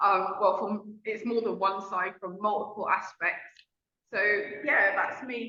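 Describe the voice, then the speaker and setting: Flat, monotone delivery at a fairly slow pace in a London accent. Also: woman, medium pitch for a woman. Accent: London British. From London, England. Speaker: relationship coach. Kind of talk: casual interview chat.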